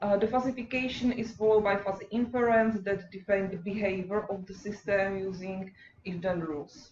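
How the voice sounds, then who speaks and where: A woman talks at a fairly quick pace with fairly even intonation, her loudness swinging in big amounts. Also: medium pitch for a woman. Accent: Czech. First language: Czech. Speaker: PhD student. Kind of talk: lecture. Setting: workshop seminar. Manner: halting.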